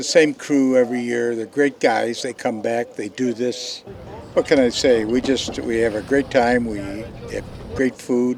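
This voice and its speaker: With noticeable background noise, a man of medium pitch talks at a fairly slow pace and with fairly even intonation. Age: 80s+. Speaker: classic yacht owner. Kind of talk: post-race interview.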